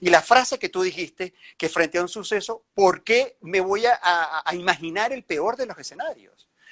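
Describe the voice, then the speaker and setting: This man has a high pitch. He speaks with hardly any pauses. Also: ordinary pitch variation, moderate pace. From Venezuela. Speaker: journalist and interviewer. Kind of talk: interview.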